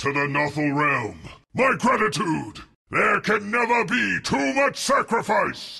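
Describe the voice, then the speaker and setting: Using a put-on character voice, a man speaks high, raised and projected at a fairly slow pace. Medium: dub. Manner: intense, solemn.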